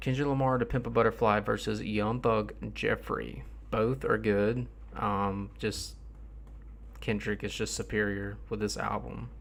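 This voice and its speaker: Someone speaks in a Southern US accent with a tired tone. The pace is fairly slow. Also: man. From US South. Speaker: rap music streamer. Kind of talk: livestream commentary. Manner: tired, low-energy.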